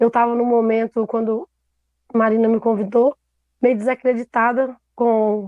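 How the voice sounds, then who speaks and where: The woman's intonation stays fairly even while she talks at a moderate pace. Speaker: theatre producer. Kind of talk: panel discussion. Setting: live stream.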